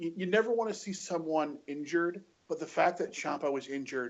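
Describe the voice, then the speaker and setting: Using a normal speaking voice, a man with an American accent talks at a moderate pace with ordinary pitch variation. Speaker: wrestling podcast panelist. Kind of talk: casual chat. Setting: remote call.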